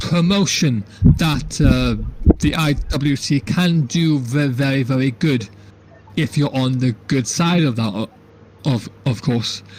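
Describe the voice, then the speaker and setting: A man's fairly high voice with lively intonation at a very slow pace, over noticeable background noise. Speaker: wrestling podcast co-host. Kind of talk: casual chat. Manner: halting, repeats words, uneven pacing.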